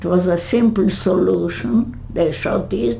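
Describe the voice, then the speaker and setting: A woman talks at a very slow pace with very wide pitch swings, amid audible room echo and noticeable background noise. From Hungary. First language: Hungarian. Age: 80s+. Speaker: Holocaust survivor. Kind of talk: interview. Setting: home. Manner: halting.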